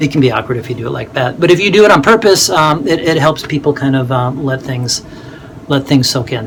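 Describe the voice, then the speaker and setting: A man's fairly high-pitched voice with ordinary pitch variation at a fairly quick pace, amid noticeable background noise. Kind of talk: tutorial. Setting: home office in attic, video recording. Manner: fast; halting, many fillers and repeats.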